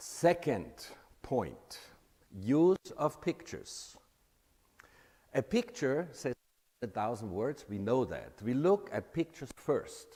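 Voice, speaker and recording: Vocal fry and very wide pitch swings at a very slow pace, with long, frequent pauses. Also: man, fairly high pitch for a man. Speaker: presentation coach. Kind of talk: workshop talk. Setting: room with live and virtual audience. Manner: animated, with deliberate pauses.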